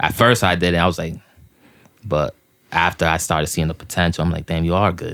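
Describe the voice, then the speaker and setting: A man with a very deep, low voice talks at a fairly quick pace, his fairly even intonation broken by long, frequent pauses. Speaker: rapper. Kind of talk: casual interview.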